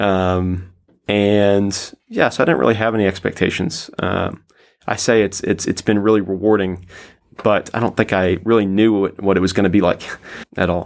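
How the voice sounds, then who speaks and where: Here a man with a Southern US accent talks at a moderate pace in a fairly low pitch, with fairly even intonation. The recording is very clean, with a silent background. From US South, Tennessee (Nashville). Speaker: English language assistant. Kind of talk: interview. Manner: casual, hesitant with fillers.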